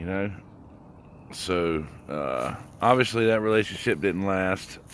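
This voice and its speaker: With audible room echo, a man speaks at a fairly slow pace in a fairly low voice. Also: ordinary pitch variation. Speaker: vlogger on a walking challenge. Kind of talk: personal testimony vlog. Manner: halting, many pauses and fillers.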